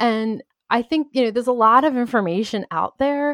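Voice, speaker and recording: With lively intonation and a high pitch, a woman talks at a fairly quick pace in a dry, close sound with no echo. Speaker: podcaster and entrepreneur. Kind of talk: casual interview.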